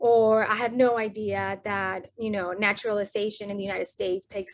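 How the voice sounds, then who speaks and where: A woman speaks at a medium pitch with a Spanish accent and monotone, flat intonation. The background is quiet. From Colombia. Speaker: sociology academic. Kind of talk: podcast interview.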